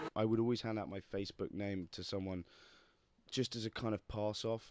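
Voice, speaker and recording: A man with a West Midlands accent talks at a fairly quick pace. His pitch is fairly low and his intonation fairly even. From England, Worcestershire. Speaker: actor. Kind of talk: casual interview chat.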